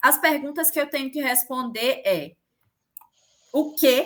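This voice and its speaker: A woman uses a raised, projected voice with a bright, sharp tone. Her pitch is high with ordinary variation, and her pace fairly slow. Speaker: teacher. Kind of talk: online lecture.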